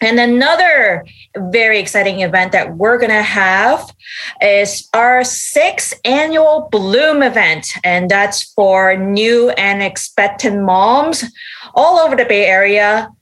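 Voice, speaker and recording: Lively intonation and very even loudness at a very slow pace, in a Canadian accent. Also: woman, fairly high pitch for a woman. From Canada. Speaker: parenting website owner. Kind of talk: casual chat.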